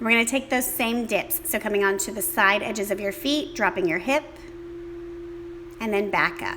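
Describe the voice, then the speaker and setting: At a moderate pace with long, frequent pauses, a woman speaks at a fairly high pitch with very wide swings over noticeable background noise. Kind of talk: guided yoga class. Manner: casual, chatty.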